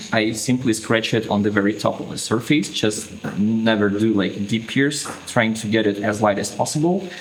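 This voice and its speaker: Over noticeable background noise, a man with a non-native accent talks at medium pitch with ordinary pitch variation. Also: moderate pace. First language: not English. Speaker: tattoo artist. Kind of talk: tutorial. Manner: hesitant, with fillers.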